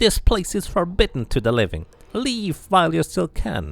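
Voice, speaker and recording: A man in a put-on character voice, high-pitched, at a moderate pace. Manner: wrathful, commanding.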